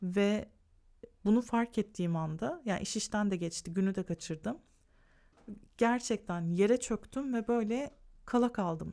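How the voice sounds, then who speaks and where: A woman at medium pitch in a dark, mellow tone, fairly slow with long, frequent pauses and ordinary pitch variation, on a very clean recording with a silent background. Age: 40s. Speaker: lifestyle YouTuber. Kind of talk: podcast monologue.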